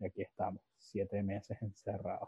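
A man with a Venezuelan accent and a fairly low pitch. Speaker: podcast host. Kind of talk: casual chat.

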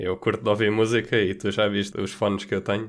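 The recording is very clean, with a silent background. A man speaks at a fairly low pitch in a monotone, flat way. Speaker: podcast co-host. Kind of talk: casual chat.

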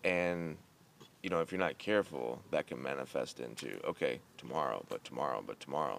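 With vocal fry and lively intonation, a man speaks in a very deep, low voice. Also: fairly quick pace. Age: 30s. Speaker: podcast host. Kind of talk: casual chat.

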